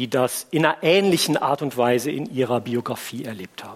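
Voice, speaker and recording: Here a man with a normal speaking voice talks at medium pitch and a moderate pace. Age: 50s. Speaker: pastor. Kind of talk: sermon.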